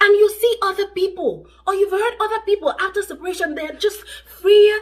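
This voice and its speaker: Amid noticeable background noise, a woman with an extremely high pitch speaks in an animated tone at a moderate pace. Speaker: relationship vlogger. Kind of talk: advice vlog to camera.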